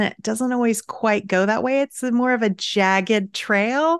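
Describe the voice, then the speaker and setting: A plain, everyday voice speaks at a fairly slow pace with ordinary pitch variation. The background is quiet and the sound dry and close with no echo. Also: woman. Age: 50s. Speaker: writing coach and author. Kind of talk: interview.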